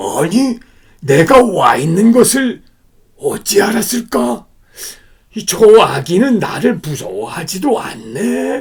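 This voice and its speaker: A man in a put-on character voice speaks at a high pitch and a fairly slow pace, with long, frequent pauses. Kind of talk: bedtime story. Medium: read story. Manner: comic overacting.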